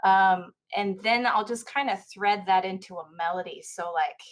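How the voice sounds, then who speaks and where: A woman with a slight country accent talks with fairly even intonation. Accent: slight country twang. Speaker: singer-songwriter guest. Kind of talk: casual chat.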